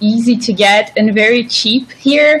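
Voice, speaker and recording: Over noticeable background noise, a woman with a Brazilian accent talks with lively intonation. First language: Portuguese. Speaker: YouTuber. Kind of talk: casual chat.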